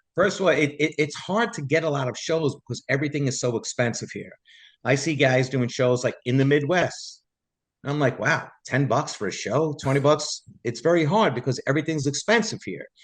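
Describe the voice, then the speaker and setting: A man speaks with a New York accent. His pitch is fairly high and his pace fairly quick. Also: quiet background. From New York City, Staten Island. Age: 60s. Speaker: Elvis tribute artist, former bus driver. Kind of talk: casual interview chat.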